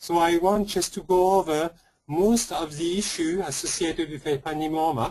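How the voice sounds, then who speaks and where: At a moderate pace, a man with a French accent speaks in a high pitch with fairly even intonation. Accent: French accent, noticeable. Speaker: pediatric neuro-oncologist. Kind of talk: lecture. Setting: webinar.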